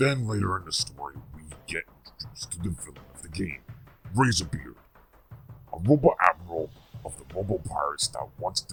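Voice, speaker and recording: Faint music sits in the background behind a put-on character voice. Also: man. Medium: solo performance. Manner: scornful, sarcastic.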